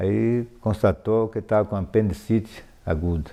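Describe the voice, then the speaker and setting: Moving along fairly slowly, the speech carries a dark, mellow tone whose pitch varies in an ordinary way. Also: man. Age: 70s. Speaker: local elder interviewee. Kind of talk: oral history interview.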